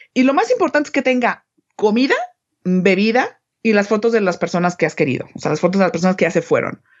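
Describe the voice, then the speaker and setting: With lively intonation, a woman rattles along at a very fast pace. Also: very even loudness. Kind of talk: casual explanation.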